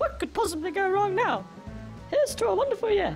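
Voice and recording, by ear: Over faint music in the background, a cartoonish character voice races at a fairly quick pace with big pitch swings and vocal fry. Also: woman, extremely high pitch for a woman.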